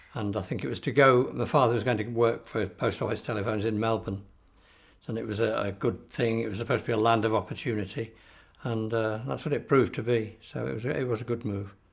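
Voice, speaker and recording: On a very clean recording with a silent background, a man speaks very fast at a medium pitch, with ordinary pitch variation and vocal fry. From northern England, Manchester area, emigrated to Australia as a child. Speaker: oral history interviewee. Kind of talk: oral history interview. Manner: halting.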